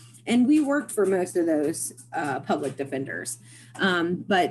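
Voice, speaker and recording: A woman speaks in an Appalachian accent. Her pitch is medium and her pace fairly slow. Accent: Appalachian American. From West Virginia, Parkersburg area. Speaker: social services worker, former private detective. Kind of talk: interview. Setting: video call.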